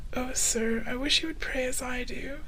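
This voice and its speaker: A soft-spoken man talks at a fairly slow pace. His intonation is monotone and flat. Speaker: VTuber. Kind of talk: ASMR story reading. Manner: soft-spoken, sleepy.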